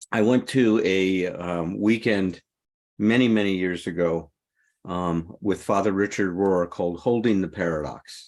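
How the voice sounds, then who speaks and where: The speech comes at a fairly slow pace with fairly even intonation against a quiet background. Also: man, very deep, low pitch for a man. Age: 70s. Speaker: recovery podcast co-host and author. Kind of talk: casual podcast discussion.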